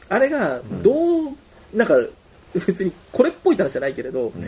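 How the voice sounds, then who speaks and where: A man at a fairly quick pace with very wide pitch swings, over noticeable background noise. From Osaka, Japan. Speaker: musician discussing new album. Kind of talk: casual chat. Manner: animated, frequent laughter.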